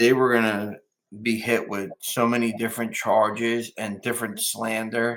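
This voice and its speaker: A man with a New Jersey accent talks at a moderate pace in a medium pitch. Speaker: businessman. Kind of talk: interview. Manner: halting.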